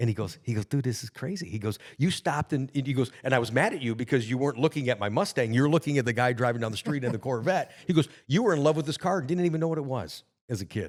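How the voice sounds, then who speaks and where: A man of medium pitch speaks at a very fast pace with an animated tone and lively intonation. The recording is very clean, with a silent background. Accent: American. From Michigan, US Midwest. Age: 60s. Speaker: car salesman. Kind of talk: podcast interview.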